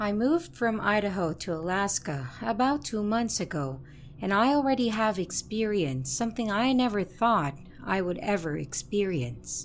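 Her pitch is medium, and this woman moves at a moderate pace with very wide pitch swings. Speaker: horror story narrator. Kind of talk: reading aloud a first-person horror story submission. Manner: steady storytelling narration, building suspense.

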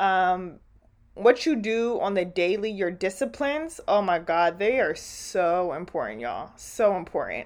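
This is a plain, everyday voice with lively intonation. It goes at a fairly slow pace against a quiet background. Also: woman, medium pitch for a woman. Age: 20s. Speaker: podcast host. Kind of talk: casual monologue. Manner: casual with frequent fillers and laughter.

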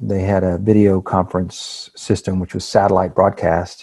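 With an American accent, a man uses an unremarkable speaking voice, fairly low in pitch and fairly even in intonation, in a very clean recording with a silent background. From Texas, Houston. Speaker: business consultant. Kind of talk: interview.

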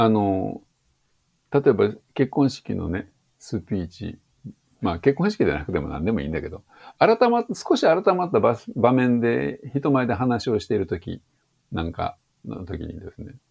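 Using vocal fry at a medium pitch, a man talks at a moderate pace with very wide pitch swings, big swings in loudness and long, frequent pauses. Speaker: English teacher. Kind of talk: interview.

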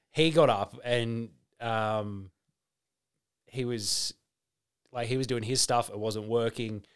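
At a very slow pace with long, frequent pauses, a man speaks at medium pitch with fairly even intonation. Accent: Australian. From Melbourne, Victoria, Australia. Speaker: comedian. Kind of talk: casual chat.

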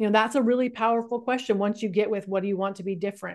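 An unremarkable speaking voice carries fairly even intonation. The background is quiet. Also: woman. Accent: American. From California. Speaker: life coach and author. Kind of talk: interview.

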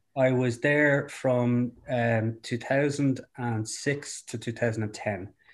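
A man with a south Dublin accent talks at a very slow pace, his medium-pitched voice moving in fairly even intonation. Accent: Irish (south Dublin). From Dublin, Ireland. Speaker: founder and CEO of a bike sharing company. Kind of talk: interview. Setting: at home, remote call.

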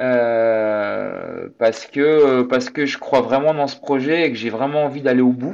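At a very slow pace with hardly any pauses, a man speaks in a medium pitch and fairly even intonation. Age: 30s. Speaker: amateur endurance athlete. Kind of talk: interview.

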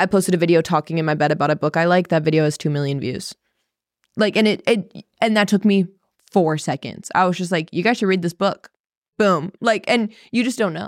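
A woman with a fairly low pitch speaks at a fairly quick pace in a plain, everyday voice with ordinary pitch variation. The recording is very clean, with a silent background and a dry, close sound with no echo. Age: 20s. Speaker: social media influencer and podcast host. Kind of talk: casual chat.

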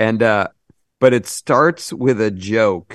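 A man speaks in a normal speaking voice, fairly low in pitch and at a fairly slow pace. The sound is dry and close with no echo, over a quiet background. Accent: American. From Massachusetts. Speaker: TV comedy writer. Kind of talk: casual interview chat.

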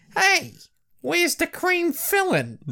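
The speaker uses a put-on character voice. The pitch is extremely high.

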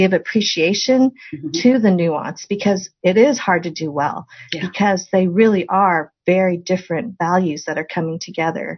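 With an American accent, a woman speaks at a moderate pace in a medium pitch. Her voice is somewhat breathy, with ordinary pitch variation. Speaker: podcast host. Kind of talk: casual interview.

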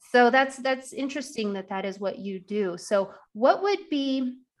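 A woman with a plain, everyday voice speaks at a fairly slow pace and ordinary pitch variation. The recording is very clean, with a silent background. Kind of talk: podcast interview, scripted intro.

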